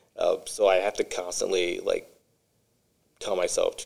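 A man with a Midwestern US accent. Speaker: podcast host. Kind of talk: casual interview chat.

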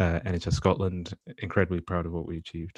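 A man speaks at a very fast pace with a very deep, low pitch. The sound is dry and close with no echo, and the background is quiet. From Nigeria. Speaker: surgeon and podcast host. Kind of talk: casual chat.

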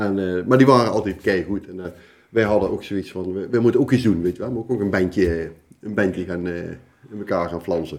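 A man's plain, everyday voice at fairly low pitch and a fairly quick pace, with ordinary pitch variation, big swings in loudness, and a very clean recording over a silent background. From Gelderland, Netherlands (Oosthout, Betuwe). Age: 50s. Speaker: carnival prince. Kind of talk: casual chat. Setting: kitchen table.

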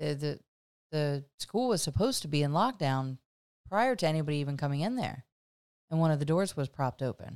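Long, frequent pauses break up a woman's fairly quick speech. Her pitch is very deep and low.

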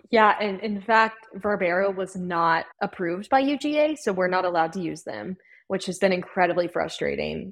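With an American accent, a woman speaks at medium pitch and a moderate pace with hardly any pauses. Her voice shows vocal fry and ordinary pitch variation. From North Carolina (Winston-Salem). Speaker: college hockey club president. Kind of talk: casual interview.

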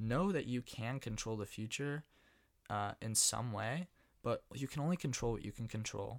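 Speaking with a Californian accent at a moderate pace, the voice shows ordinary pitch variation. The recording is very clean, with a silent background and a dry, close sound with no echo. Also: man, medium pitch for a man. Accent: Californian American. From US West, San Francisco Bay Area. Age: 20s. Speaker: podcast host, college student. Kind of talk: solo monologue podcast. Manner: casual with many fillers.

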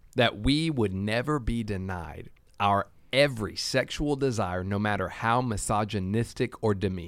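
On a very clean recording with a silent background, a man with a fairly low pitch uses a normal speaking voice, talking at a moderate pace with ordinary pitch variation. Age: 30s. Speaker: church podcast co-host. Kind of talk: podcast discussion on faith topics.

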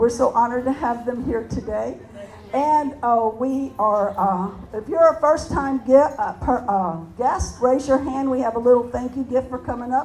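A woman speaks in a high voice. Her intonation is fairly even. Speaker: prayer meeting leader. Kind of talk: prayer. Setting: stage with audience.

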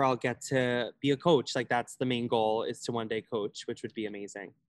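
The speaker goes at a very fast pace with an American accent. The sound is dry and close, with no echo. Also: man. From Long Island, New York. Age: 20s. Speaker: college dancer. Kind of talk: casual interview.

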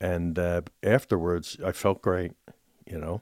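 A man speaks with a Philadelphia accent in a very deep, low voice. The recording is very clean with a silent background and a dry, close sound with no echo. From Philadelphia, US Northeast. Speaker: churchgoer sharing faith story. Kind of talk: testimony.

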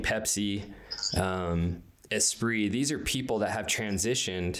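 Here is an unremarkable speaking voice, delivered at a fairly slow speed. Its pitch moves in an ordinary way. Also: man. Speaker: interviewer. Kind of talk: interview chat.

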